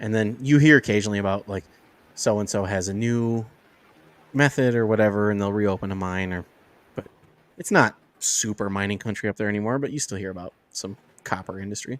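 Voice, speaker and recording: With an American accent and a fairly low pitch, a man talks at a fairly quick pace in a fairly even tone, leaving long, frequent pauses. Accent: can switch Yooper accent on and off. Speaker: podcast guest. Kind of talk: casual chat.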